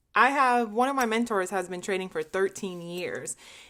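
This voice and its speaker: A woman's bright, sharp, animated tone at a medium pitch, with lively intonation, a moderate pace and a very clean recording with a silent background. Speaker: trading vlogger. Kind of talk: casual vlog monologue.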